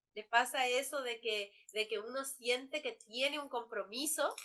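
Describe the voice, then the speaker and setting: A woman with a bright, sharp tone and a fairly high pitch talks at a fairly slow pace. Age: 40s. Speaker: law professor. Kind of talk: lecture. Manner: halting.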